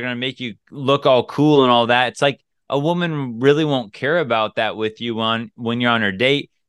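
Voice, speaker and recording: A man with an American accent talks at a moderate pace in a medium-pitched voice. It is an ordinary speaking voice with ordinary pitch variation. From US Pacific Northwest. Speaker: dating coach podcaster. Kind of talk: casual podcast advice.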